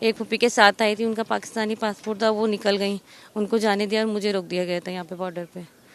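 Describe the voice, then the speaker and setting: A woman speaking at a moderate pace. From India. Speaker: stranded traveller at border. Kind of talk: street interview.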